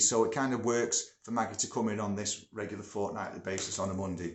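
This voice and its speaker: Man's fairly low voice with a northern English accent, fairly quick in pace and fairly even in intonation, with audible room echo. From northern England. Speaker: music producer and studio owner. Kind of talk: casual vlog talk. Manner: chatty, with many filler words.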